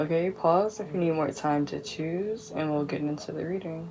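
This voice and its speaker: A woman speaks quietly at a fairly low pitch with ordinary pitch variation. Noticeable background noise sits behind her. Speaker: tarot card reader. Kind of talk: pick-a-card tarot reading. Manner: speaking quietly; casual, filler-heavy.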